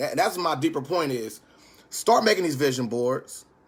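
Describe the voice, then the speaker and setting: A very clean recording of a man against a silent background. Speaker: stock investing YouTuber. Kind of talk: casual livestream tutorial. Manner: fast.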